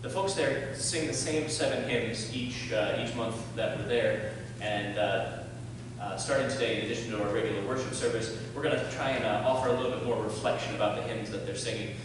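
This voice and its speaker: Strong room echo and noticeable background noise accompany a man speaking fairly quickly with fairly even intonation. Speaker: pastor at the pulpit. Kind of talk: church announcements. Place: church.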